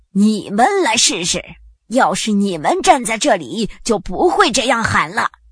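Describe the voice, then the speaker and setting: Shouting in a put-on character voice, a female-sounding speaker goes at a fairly slow pace with a fairly high pitch and very wide pitch swings. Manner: angry, shouting.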